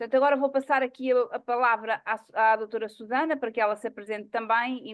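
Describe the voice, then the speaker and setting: Here a woman talks at a very fast pace. Her intonation stays fairly even. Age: 50s. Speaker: psychologist and network marketing presenter. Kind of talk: online presentation meeting.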